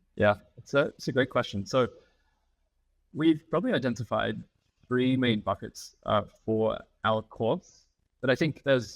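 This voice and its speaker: Fairly quick speech from a man with an American accent, ordinary pitch variation, a dry, close sound with no echo, and a very clean recording with a silent background. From Australia, Melbourne. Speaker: sustainability consultancy founder. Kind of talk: podcast interview.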